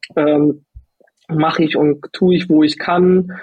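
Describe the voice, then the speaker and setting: A man's high-pitched voice, monotone with flat intonation. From northern Germany, Lübeck. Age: 30s. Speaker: judo athlete. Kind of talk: interview.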